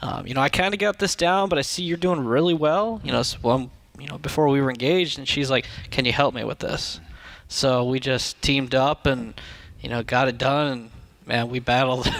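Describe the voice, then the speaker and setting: A man at medium pitch with a slight Minnesota accent, fairly quick in pace, with ordinary pitch variation. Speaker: debt-free guest, machinist. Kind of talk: radio interview.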